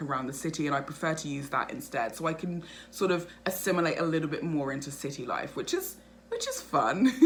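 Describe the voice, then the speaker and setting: An animated woman with a very deep, low voice, fairly quick delivery and audible room echo. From England, North London. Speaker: vlogger. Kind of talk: casual vlog monologue. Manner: fast.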